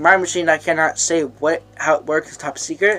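A man speaks with fairly high pitch and ordinary pitch variation over noticeable background noise. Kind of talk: casual vlog talk to camera. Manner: fast, some stuttering.

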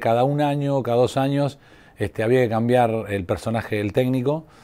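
A man's dark, mellow tone at a fairly quick pace. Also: quiet background. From Argentina, La Pampa. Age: 50s. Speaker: sports physiotherapist. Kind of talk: interview; interview answer. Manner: halting, many fillers. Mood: calm, reflective.

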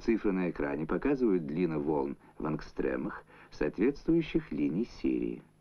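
A man speaks at a fairly slow pace in a very deep, low voice with vocal fry and lively intonation. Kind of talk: 1970s Soviet educational film narration, scripted voice-over. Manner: formal, measured, even-paced and authoritative, with a didactic newsreel-style delivery. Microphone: old recording.

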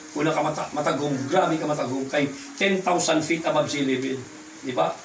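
A man speaks at a very fast pace amid light background noise and audible room echo. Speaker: product presenter. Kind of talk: sales pitch. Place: home room. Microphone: camera far.

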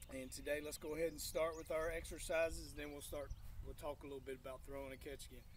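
Light background noise runs beneath a man's voice. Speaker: PE teacher. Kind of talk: lesson for children. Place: garden.

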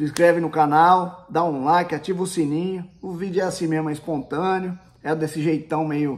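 A man with a high voice speaks in a flat, monotone way. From Brazil, Paraná. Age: 40s. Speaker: YouTuber. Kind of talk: casual product review vlog. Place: home room. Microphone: phone near.

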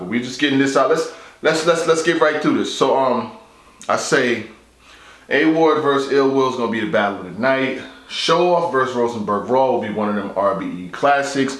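Strong room echo surrounds a man with a fairly bright tone. He talks at a fairly quick pace.

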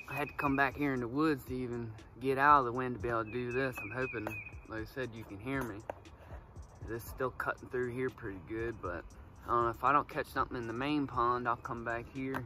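With noticeable background noise but a dry sound and no echo, a man talks at a very fast pace with fairly even intonation. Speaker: fishing vlogger. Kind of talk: casual vlog chat. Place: forest.

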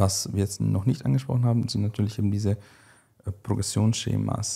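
The voice is dark and mellow, somewhat breathy, with fairly even intonation. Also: man. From Switzerland. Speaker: bodybuilding coach. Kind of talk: casual chat. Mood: calm, explanatory. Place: studio. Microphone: studio mic.

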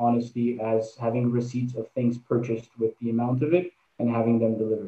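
In a room with audible echo, a man talks at a fairly quick pace in a medium-pitched, monotone, flat voice. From Quebec, Canada. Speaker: charity co-founder and entrepreneur; guest. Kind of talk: interview. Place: home room. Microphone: video call.

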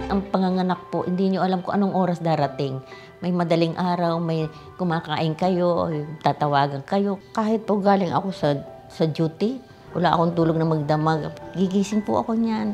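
Over clear music in the background, a woman speaks at a moderate pace in a fairly low pitch, with ordinary pitch variation and very even loudness. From Philippines. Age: 80s+. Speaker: OB gynecologist. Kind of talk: interview answer. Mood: calm, reflective, devout. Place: home room.

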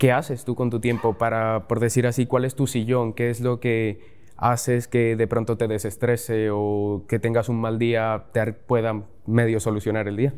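A man at a fairly slow pace, monotone and flat, with hardly any pauses. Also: medium pitch for a man. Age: young. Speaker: university student and trading learner; interviewer. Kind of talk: Q&A interview questions. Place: studio. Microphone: lapel.

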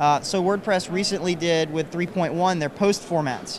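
A man with an American accent speaks at a high pitch with ordinary variation. There is noticeable background noise. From Kentucky, rural. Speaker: web developer; interviewee. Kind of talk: interview. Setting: conference floor. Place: hall. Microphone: handheld.

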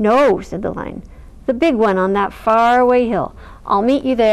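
The clip is plain reading aloud. Nothing else stands out.

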